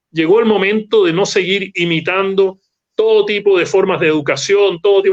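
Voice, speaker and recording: This man's high pitch stays within fairly even intonation. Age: 70s. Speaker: interview guest. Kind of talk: interview. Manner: emphatic, fluent.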